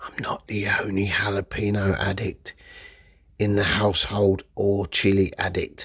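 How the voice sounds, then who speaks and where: A man's raspy, whispered character voice at a moderate pace. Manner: whispering.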